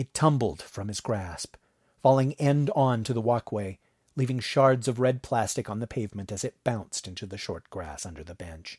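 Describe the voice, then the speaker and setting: A man speaks at a moderate pace with lively intonation and a medium pitch. The recording is very clean and dry, close with no echo and a silent background, his somewhat breathy voice swinging widely in loudness. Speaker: audiobook narrator. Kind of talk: horror audiobook narration, reading a story aloud. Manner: tense, strained and urgent, dramatizing a father's pain and panic.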